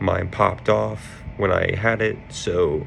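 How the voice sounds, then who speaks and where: Over noticeable background noise and audible room echo, a man sounds strained and talks at a very slow pace. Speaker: car enthusiast YouTuber. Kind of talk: casual comedic roast commentary. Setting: hotel room. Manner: restrained volume. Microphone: laptop recording, echo.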